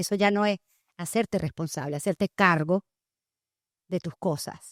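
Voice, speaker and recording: The voice moves at a fairly slow pace in a very clean recording with a silent background, the sound dry and close with no echo. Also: woman. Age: 50s. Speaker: trauma life coach and podcast host. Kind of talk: interview testimony. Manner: loud.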